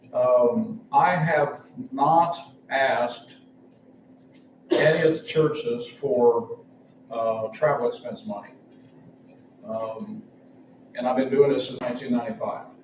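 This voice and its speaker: With audible room echo, a man speaks at a very slow pace and a fairly high pitch, leaving long, frequent pauses as his pitch swings very widely and his loudness shifts greatly. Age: 70s. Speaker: travelling preacher. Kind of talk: sermon. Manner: halting.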